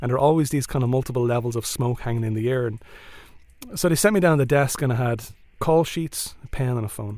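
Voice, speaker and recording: With an Irish accent, this voice has a dark, mellow tone, ordinary pitch variation and a very fast pace. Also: man. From Ireland. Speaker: storyteller. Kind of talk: live storytelling.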